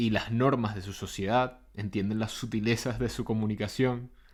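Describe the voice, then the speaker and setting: In a Caracas Venezuelan accent, a man with medium pitch speaks at a moderate pace with monotone, flat intonation. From Venezuela, Caracas. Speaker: podcaster and psychotherapist. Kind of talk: reflective monologue.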